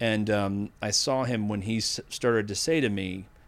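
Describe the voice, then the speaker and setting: A man's fairly low-pitched, normal speaking voice with an American accent and ordinary pitch variation. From Massachusetts (Needham, near Boston). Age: 50s. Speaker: AI ethics expert. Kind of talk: interview.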